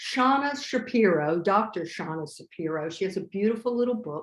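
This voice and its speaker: Against a quiet background, a woman with a normal speaking voice talks at a moderate pace, her medium pitch carried by lively intonation. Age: 60s. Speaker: vegan chef and restaurateur. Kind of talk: casual interview chat.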